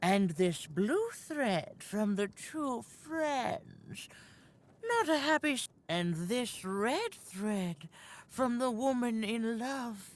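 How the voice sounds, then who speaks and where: A woman uses a put-on character voice at a fairly high pitch. She speaks at a very slow pace. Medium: video game. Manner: cryptic, unhurried.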